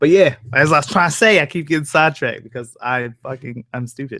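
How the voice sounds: A man speaks at a fairly quick pace with ordinary pitch variation. His pitch is fairly high and his tone fairly bright.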